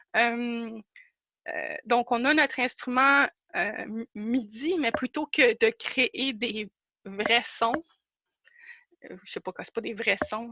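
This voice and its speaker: A woman with a high pitch and a bright, sharp tone speaks at a very slow pace, taking long, frequent pauses, with ordinary pitch variation, big swings in loudness and a dry, close sound with no echo. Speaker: workshop presenter, instrument maker. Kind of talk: online workshop presentation. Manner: animated, halting.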